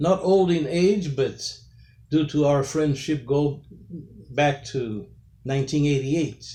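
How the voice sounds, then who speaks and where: A man with a Brazilian accent, a fairly high pitch, ordinary pitch variation, a dark, mellow tone, a somewhat breathy quality and a fairly slow pace. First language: Portuguese. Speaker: pastor. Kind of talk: interview. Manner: formal.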